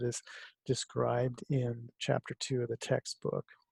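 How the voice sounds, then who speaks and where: A man with an American accent talks at a moderate pace in a dark, mellow, somewhat breathy tone. The sound is dry and close, without echo. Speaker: college instructor. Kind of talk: recorded course lecture. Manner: speaking quietly; hesitant, many fillers.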